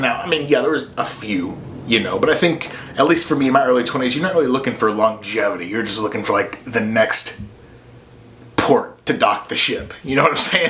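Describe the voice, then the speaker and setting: A man talks at a fairly quick pace in a fairly high pitch. Noticeable background noise and audible room echo surround him. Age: 30s. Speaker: podcast host. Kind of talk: casual monologue. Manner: casual, with fillers.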